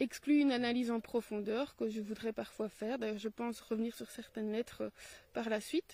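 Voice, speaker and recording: A woman's fairly high, dark and mellow voice in a Belgian accent, with fairly even intonation, long, frequent pauses and a dry, close sound with no echo. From Belgium. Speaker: teacher and video blogger on philosophy. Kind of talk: solo video commentary. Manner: hesitant, with frequent fillers.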